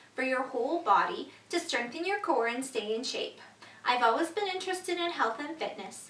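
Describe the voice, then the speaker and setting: A woman's pitch swings very widely, with room echo audible and background noise noticeable. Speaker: stretching class instructor. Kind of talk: exercise tutorial. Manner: soft-spoken.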